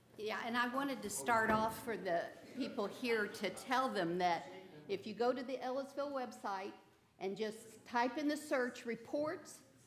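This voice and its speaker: A woman with an American accent talks with lively intonation over noticeable background noise. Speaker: subcommittee member. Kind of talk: public meeting report.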